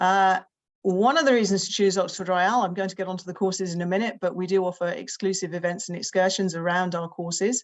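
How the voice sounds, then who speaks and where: A woman with a British accent speaks fairly quickly at a fairly low pitch, her intonation fairly even. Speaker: summer school representative. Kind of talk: presentation. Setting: video call with screen share.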